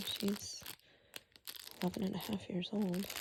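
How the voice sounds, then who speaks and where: Soft-spoken and flat in intonation, the voice comes through monotone over noticeable background noise. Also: woman. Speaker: ASMR creator. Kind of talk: ASMR soft-spoken talk.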